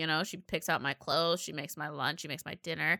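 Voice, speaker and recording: A woman speaks in an animated way with a bright, sharp tone, her voice dry and close with no echo on a very clean recording over a silent background. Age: 20s. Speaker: podcast co-host. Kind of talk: casual chat.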